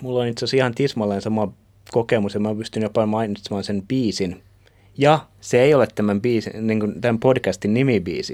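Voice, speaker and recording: An ordinary speaking voice goes at a fairly quick pace with fairly even intonation. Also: man, fairly low pitch for a man. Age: 30s. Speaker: podcast co-host. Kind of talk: casual chat.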